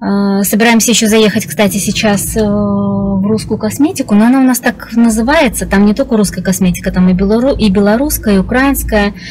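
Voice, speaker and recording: Over faint background music, a woman talks at a fairly quick pace with very even loudness and ordinary pitch variation. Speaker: vlogger. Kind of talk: casual vlog chat. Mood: cheerful, chatty. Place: car. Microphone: phone near.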